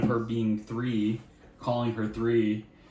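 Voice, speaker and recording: Noticeable background noise sits behind this voice. A man speaks with an American accent. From US, Florida. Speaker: vlogger, American expat parent. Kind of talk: casual chat. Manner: animated.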